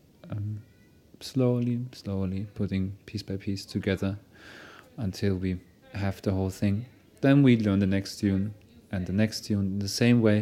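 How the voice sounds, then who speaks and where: Speaking with a German accent, a man talks at a fairly slow pace and a fairly low pitch. He makes long, frequent pauses, and his intonation is fairly even. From Germany. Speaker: music project leader. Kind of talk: interview. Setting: outdoors. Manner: halting.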